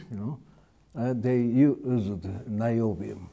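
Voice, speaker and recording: A man speaks very slowly with a Japanese accent. His tone is dark and mellow. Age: 80s+. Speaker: retired chemistry professor. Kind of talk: interview. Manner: halting, many fillers. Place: hall. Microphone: lapel.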